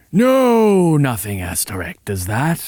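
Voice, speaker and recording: Here a man performs a put-on character voice. It sits fairly high in pitch and makes very wide pitch swings. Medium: read story. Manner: reassured, preacher-like.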